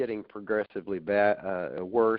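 A man's fairly low voice at a moderate pace. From grew up around the world, then Oklahoma from age ~18. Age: 60s. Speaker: knee replacement patient, accountant. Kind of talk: interview, personal story. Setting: phone or remote call. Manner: halting, many fillers.

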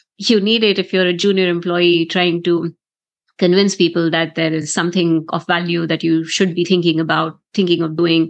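A woman talks in a fairly low, monotone, flat voice. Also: moderate pace. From India. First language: not English. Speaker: tech leader and keynote speaker. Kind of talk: interview.

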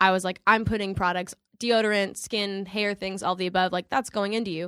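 The recording is very clean and the background silent. A woman talks at a medium pitch, her intonation fairly even. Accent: slight Southern US. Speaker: actress. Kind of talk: casual chat.

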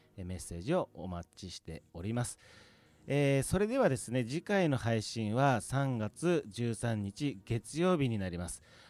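Heard in a dry, close sound with no echo, a man at medium pitch talks at a fairly slow pace, with very wide pitch swings and big swings in loudness. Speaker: stand-in radio assistant, podcast company head. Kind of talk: casual chat. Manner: laughing, unpolished delivery.

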